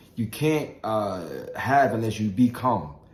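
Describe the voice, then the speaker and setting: A man speaks with lively intonation, and audible room echo comes through. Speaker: motivational vlogger. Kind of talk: motivational talk. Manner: halting.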